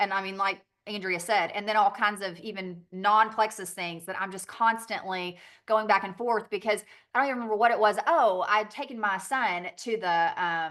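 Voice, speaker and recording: Bright and sharp in tone, a woman talks in a Southern accent with a medium pitch and ordinary pitch variation. Her pace is moderate over a quiet background. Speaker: direct sales business owner. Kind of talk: training call presentation. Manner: casual, filler-heavy.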